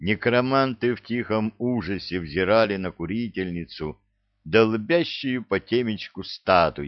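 Ordinary pitch variation in plain reading aloud, over a quiet background

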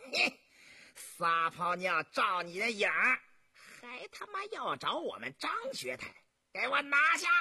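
Putting on a character voice, a man speaks high and fairly slowly with lively intonation. His bright, sharp tone carries a slightly husky edge and vocal fry.

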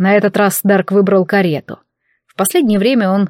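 The background stays quiet. A natural reading voice keeps its intonation fairly even.

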